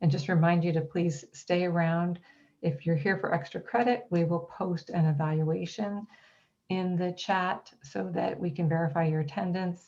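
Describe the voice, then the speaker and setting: Somewhat breathy and dark, mellow in tone, a woman speaks at a moderate pace with fairly low pitch and ordinary pitch variation. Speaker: college counselor and workshop presenter. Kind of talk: online workshop presentation.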